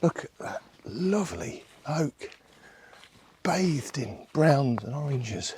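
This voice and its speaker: A quiet man with an English accent, very slow pace, long, frequent pauses and big swings in loudness. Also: fairly high pitch for a man, lively intonation. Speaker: landscape photographer. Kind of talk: outdoor vlog narration. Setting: outdoors in woodland. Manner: quiet, hushed.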